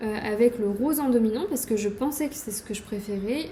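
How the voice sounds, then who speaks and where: With ordinary pitch variation, a woman's fairly high voice moves at a moderate pace. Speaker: knitting podcaster. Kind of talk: casual show-and-tell video podcast. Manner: hesitant, many fillers.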